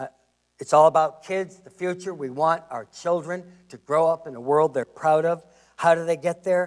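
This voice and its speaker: A man with a normal speaking voice, fairly high pitch, fairly even intonation, moderate pace and big swings in loudness. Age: 60s. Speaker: historian and public lecturer. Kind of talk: lecture.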